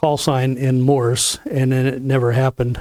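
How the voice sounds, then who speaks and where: A dark, mellow tone with a slight Southern US accent, recorded dry and close with no echo. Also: man. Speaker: ham radio license class instructor. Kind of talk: lecture. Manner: halting, with fillers.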